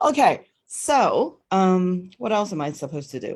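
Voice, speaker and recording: On a very clean recording with a silent background, a woman speaks in an animated tone with a Cantonese accent. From Hong Kong. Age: 50s. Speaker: network marketing team leader teaching a class. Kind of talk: livestream class. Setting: Facebook live stream.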